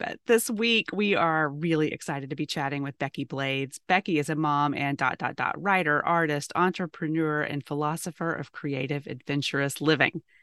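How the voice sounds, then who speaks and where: A woman speaks with a very deep, low pitch and ordinary pitch variation, at a moderate pace with hardly any pauses. The sound is dry and close with no echo over a quiet background. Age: 40s. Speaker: podcast host. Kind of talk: reading aloud; casual chat.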